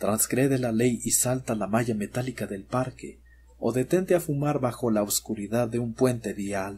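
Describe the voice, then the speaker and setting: A man speaks at medium pitch in a dark, mellow, dramatic tone. His voice is somewhat breathy, with ordinary pitch variation. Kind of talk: scripted horror narration, ghost story telling. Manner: slow, hushed and ominous, addressing the listener directly as 'you'; deliberate, dramatic pauses, eerie and suspenseful.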